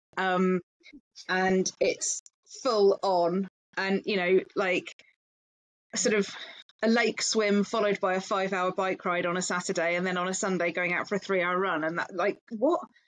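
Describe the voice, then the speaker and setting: Speaking at a moderate pace with long, frequent pauses, a woman keeps a medium pitch and fairly even intonation. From England. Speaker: founder of a perimenopause support group. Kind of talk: interview conversation.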